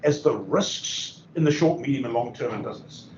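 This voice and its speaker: Using an unremarkable speaking voice, a man with fairly high pitch speaks at a moderate pace with lively intonation. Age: 60s. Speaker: business consultant and speaker. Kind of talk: seminar talk. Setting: in-person seminar with audience.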